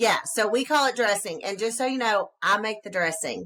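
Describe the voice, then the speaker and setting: In a Southern US accent, a woman speaks at a moderate pace with a bright, sharp, animated tone and ordinary pitch variation. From US South. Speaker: podcast co-host. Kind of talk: casual podcast chat.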